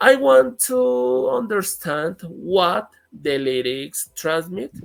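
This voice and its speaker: Speaking very slowly in a Spanish accent, a man uses a fairly high voice that swings very widely in pitch. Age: 30s. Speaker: English teacher. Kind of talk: interview. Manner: halting.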